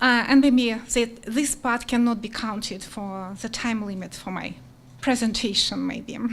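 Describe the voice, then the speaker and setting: Audible room echo surrounds a woman speaking at a fairly slow pace, her fairly high voice held to fairly even intonation. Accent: non-native. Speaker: teacher, applicant for town commission. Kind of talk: public comment. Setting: council meeting. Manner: slow and clear.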